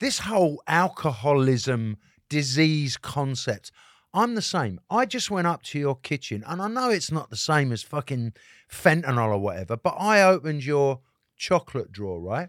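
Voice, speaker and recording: A man with an English accent speaks at a fairly slow pace in a fairly high voice, his animated tone swinging very widely in pitch, on a very clean, dry, close recording with a silent background and no echo. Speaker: rock guitarist. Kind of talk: casual chat. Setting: studio. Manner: animated, talkative.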